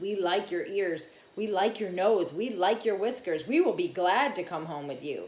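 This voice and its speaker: A female-sounding voice speaks at a medium pitch. It is a put-on character voice. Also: moderate pace. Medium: read story.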